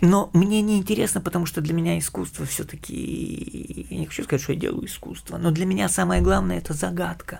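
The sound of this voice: Fast, fairly even speech with few pauses, vocal fry, and a slightly mellow tone. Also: man, high pitch for a man.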